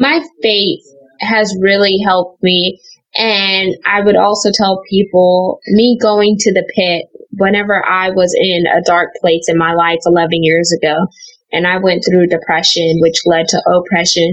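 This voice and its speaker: A woman talks in a plain, everyday voice at medium pitch and a fairly slow pace. Her intonation is fairly even and her loudness very even. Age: 20s. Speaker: author. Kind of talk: interview.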